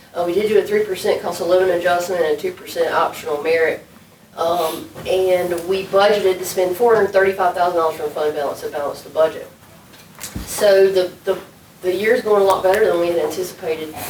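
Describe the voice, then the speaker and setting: Through noticeable background noise, a woman speaks at a medium pitch with fairly even intonation. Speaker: city administrator. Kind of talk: budget presentation at council work session. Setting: city council meeting room.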